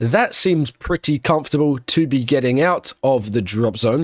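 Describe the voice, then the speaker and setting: His pitch rises and falls very widely. The man has an Australian accent. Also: dry, close sound with no echo. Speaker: F1 watchalong streamer. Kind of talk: live commentary. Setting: live stream. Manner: halting with self-corrections.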